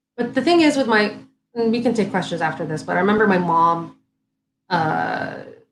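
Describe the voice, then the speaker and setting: Intonation is lively and the pace fairly quick, though long, frequent pauses break it up, with audible room echo throughout. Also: woman, medium pitch for a woman. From Saudi Arabia. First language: Arabic. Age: 30s. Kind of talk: casual chat. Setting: live stream.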